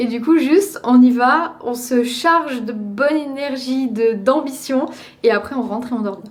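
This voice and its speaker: The voice shows ordinary pitch variation, and room echo is audible around it. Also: woman. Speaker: vlogger and Pilates influencer. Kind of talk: casual vlog. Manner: soft-spoken.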